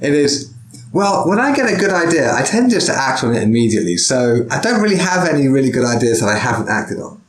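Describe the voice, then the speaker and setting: A man talks at a very fast pace with very wide pitch swings. Audible room echo and noticeable background noise surround his voice. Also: fairly high pitch for a man. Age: 40s. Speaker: podcast host and sword teacher. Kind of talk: casual interview.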